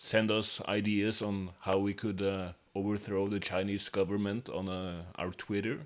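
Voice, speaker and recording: With a Norwegian accent, a man speaks at a fairly slow pace in a fairly low pitch. His intonation is monotone and flat, with hardly any pauses. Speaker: podcast co-host. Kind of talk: casual chat; mock sports commentary. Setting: living room.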